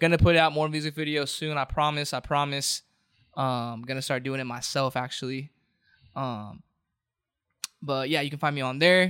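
A man's fairly high, bright, sharp voice with an American accent, fairly even intonation, moderate pace and long, frequent pauses, on a very clean recording with a silent background. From Southern California, Orange County. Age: 20s. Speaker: rapper and singer. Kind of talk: casual chat. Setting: studio.

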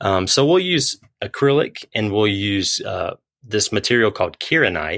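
A man with a North Carolina accent talks at medium pitch with very wide pitch swings. The sound is dry and close with no echo, on a very clean recording with a silent background. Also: moderate pace. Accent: Southern US (North Carolina). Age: 30s. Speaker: guitar pick maker. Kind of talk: interview.

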